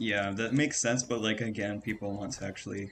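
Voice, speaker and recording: Soft-spoken and fairly low in pitch, a man talks at a fairly quick pace. His intonation stays fairly even. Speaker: gaming streamer. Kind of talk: casual chat. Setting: live stream. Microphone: cheap microphone; volume balance issues.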